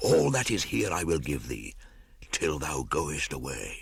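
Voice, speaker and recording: Using a put-on character voice, a man hisses at a very deep, low pitch, speaking at a fairly slow pace with lively intonation. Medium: read story. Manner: hissing, menacing.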